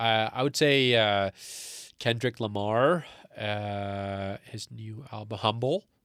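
A man with a fairly low pitch speaks at a very slow pace, his loudness swinging widely and his pitch varying in an ordinary way, on a very clean recording with a silent background. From Canada, born in Pakistan. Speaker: engineering student and wellness entrepreneur. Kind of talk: casual interview. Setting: studio, face-to-face. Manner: halting, many fillers and restarts.

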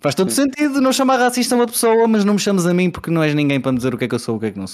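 A man's voice swings very widely in pitch, captured on a very clean recording with a silent background. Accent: Porto. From Portugal, Porto. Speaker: podcast host. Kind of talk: casual chat.

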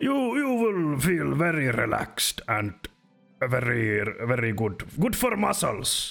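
Over faint music in the background, a man puts on a character voice at a medium pitch and a fairly slow pace. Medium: actual play. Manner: friendly salesman, simple broken phrasing.

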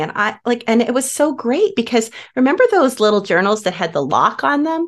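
A woman's warm, enthusiastic tone with very wide pitch swings. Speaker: podcast host. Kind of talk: interview conversation.

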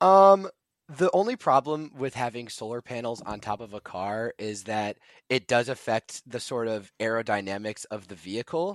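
A man with a plain, everyday voice and an American accent, medium pitch, lively intonation, and a moderate pace, in a dry, close sound with no echo, on a very clean recording with a silent background. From US Midwest, Chicago area (Illinois). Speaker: engineering student and intern. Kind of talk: podcast interview.

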